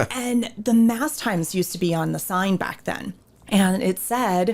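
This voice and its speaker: Captured in a very clean recording with a silent background, a woman speaks at medium pitch in an animated tone with ordinary pitch variation. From USA, military family, moved around. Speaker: parish theater ministry director. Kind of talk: casual chat.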